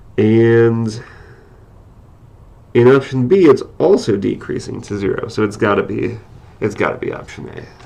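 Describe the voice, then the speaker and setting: The speaker keeps a moderate pace with long, frequent pauses and big swings in loudness, and audible room echo is present. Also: man. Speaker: math instructor. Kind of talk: lecture. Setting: live stream.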